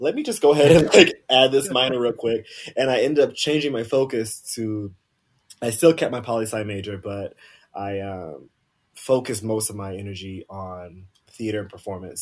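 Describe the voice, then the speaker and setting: On a very clean recording with a silent background, a man with an American accent talks at a moderate pace in a fairly low pitch with ordinary pitch variation. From South Carolina. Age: 30s. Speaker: blogger and actor. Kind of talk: casual chat.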